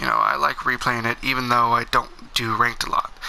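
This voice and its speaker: Moderate pacing from a man, noticeable background noise behind him. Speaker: gaming youtuber. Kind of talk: gameplay commentary. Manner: casual, hesitant with fillers.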